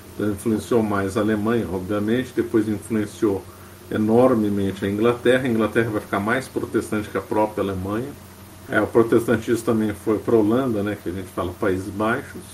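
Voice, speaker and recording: The man speaks fairly quickly in a fairly low pitch. His intonation is monotone and flat, and the room echo is audible. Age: 50s. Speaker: history lecturer, lawyer by training. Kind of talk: lecture. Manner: frequent fillers and hesitations.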